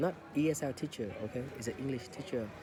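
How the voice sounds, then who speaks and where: Moderate pace and ordinary pitch variation, with a Vietnamese accent. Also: man. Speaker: English learning podcaster. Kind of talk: casual monologue. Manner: halting, many fillers.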